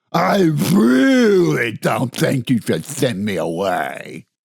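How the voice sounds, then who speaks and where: In a put-on character voice, a man growls at a medium pitch and a very slow pace. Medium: read story. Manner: slurping, sloppy.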